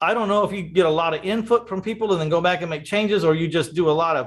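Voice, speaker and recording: Talking very fast at a high pitch, a man shows ordinary pitch variation. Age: 60s. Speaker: real estate podcast host. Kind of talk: casual interview chat.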